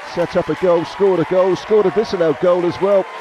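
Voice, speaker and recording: Crowd noise fills the background as a man speaks in an excited tone. His voice is high-pitched and his pace fairly quick. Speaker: football match commentator. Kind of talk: live sports commentary. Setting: stadium. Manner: animated; fast, excited delivery.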